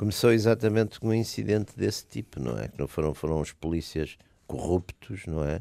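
With a dark, mellow tone, this man talks at a moderate pace and lively intonation in a very clean recording with a silent background. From Porto, Portugal. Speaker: political commentator. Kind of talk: casual political debate. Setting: radio studio. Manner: hesitant, halting, repeats words.

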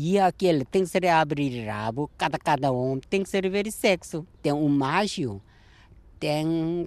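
Speaking at a very slow pace, a man has a fairly high pitch and a dark, mellow tone. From South Korea. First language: Korean (speaking Portuguese). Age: 60s. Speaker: retired chick sexer. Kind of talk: interview. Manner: halting.

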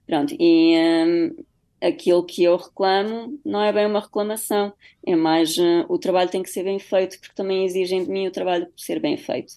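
At a moderate pace, this woman talks at a medium pitch. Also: lively intonation, big swings in loudness. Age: 30s. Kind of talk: radio interview. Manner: halting.

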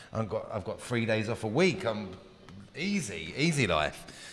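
Music plays behind a man with an English accent. He speaks at a fairly quick pace. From England. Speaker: baker. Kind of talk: interview.

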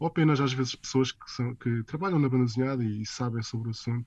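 Dry and close with no echo, a man's somewhat breathy, medium-pitched voice moves at a very fast pace. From Portugal. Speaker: comics artist. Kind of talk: interview. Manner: halting.

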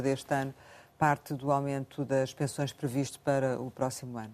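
The tone is dark and mellow, delivered at a moderate pace. The recording is very clean, with a silent background. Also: woman. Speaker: radio journalist. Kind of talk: radio interview.

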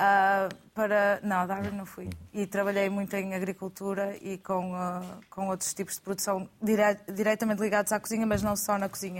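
A woman's medium-pitched voice in monotone, flat intonation. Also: moderate pace. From Portugal. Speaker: chef. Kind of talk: studio panel discussion. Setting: studio.

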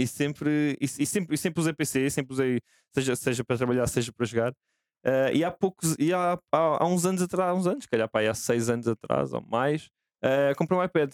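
Recorded very cleanly against a silent background, the sound is dry and close with no echo. A man with an ordinary speaking voice talks at a moderate pace, fairly high in pitch, with ordinary pitch variation and very even loudness. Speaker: gaming content team member. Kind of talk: casual chat.

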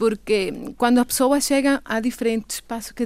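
A woman speaks with a Venezuelan accent at a moderate pace. The recording is very clean, with a silent background. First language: Spanish (speaking Portuguese). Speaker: immigrant association representative. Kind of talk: radio interview. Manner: halting, many fillers.

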